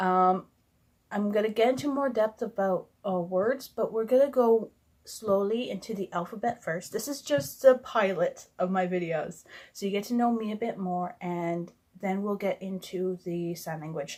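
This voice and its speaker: A woman with a Canadian accent mumbles at a moderate pace. Her pitch is medium, with ordinary pitch variation. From Canada. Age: 20s. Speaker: sign language vlogger. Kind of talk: casual vlog introduction. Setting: recording alone to camera. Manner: mumbling; hesitant, many fillers.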